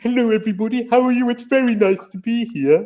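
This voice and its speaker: A put-on character voice at a very fast pace and fairly high pitch. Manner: friendly, cheerful greeting.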